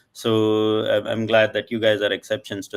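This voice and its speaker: A man speaks at a fairly quick pace. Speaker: panel moderator and angel investor. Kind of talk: live panel discussion. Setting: live stream. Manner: fast.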